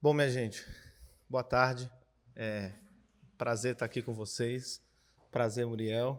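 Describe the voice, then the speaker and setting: Here a man speaks at a medium pitch in a monotone, flat intonation at a very slow pace. The recording is very clean, with a silent background. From Brazil, Cubatão, São Paulo coast. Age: 20s. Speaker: filmmaker and philosophy teacher. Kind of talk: panel discussion. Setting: screening venue with audience.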